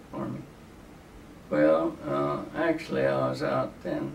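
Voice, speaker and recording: Over noticeable background noise, a man speaks very slowly with a Texan accent. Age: 90s. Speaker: army veteran. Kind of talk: interview answer.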